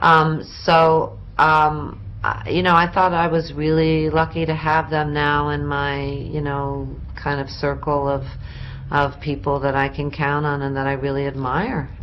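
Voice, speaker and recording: Over noticeable background noise, a woman talks at a fairly slow pace in a very deep, low voice with a flat, monotone delivery. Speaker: actress. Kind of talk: interview answer. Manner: relaxed, conversational.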